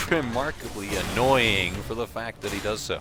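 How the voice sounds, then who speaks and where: A man with a fairly low voice speaks with lively intonation over music in the background. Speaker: game commentator. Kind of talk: esports match commentary.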